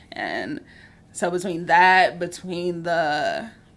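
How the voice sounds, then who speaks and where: A woman speaks loudly in an animated tone. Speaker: podcast host. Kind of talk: casual chat.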